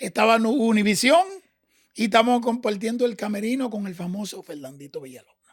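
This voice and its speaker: A man with a high pitch speaks in an animated tone at a fairly quick pace. His intonation is lively, with big swings in loudness. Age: 50s. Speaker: salsa dancer. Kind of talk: interview storytelling.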